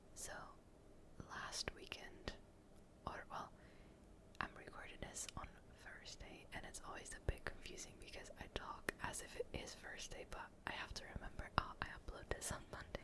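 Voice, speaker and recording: A relaxed whisper at a moderate pace, with long, frequent pauses and noticeable background noise. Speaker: ASMR gaming content creator. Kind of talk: ASMR gaming commentary. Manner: soft-spoken, relaxed.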